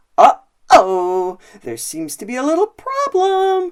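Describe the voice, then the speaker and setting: Delivered fairly slowly, this is a put-on character voice. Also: woman, extremely high pitch for a woman. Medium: read story. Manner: calm, assured.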